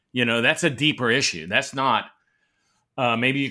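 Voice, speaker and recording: Set against a silent background in a very clean recording, the voice has a bright, sharp tone and a fairly quick pace. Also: man. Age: 60s. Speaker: veteran podcaster. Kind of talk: casual interview.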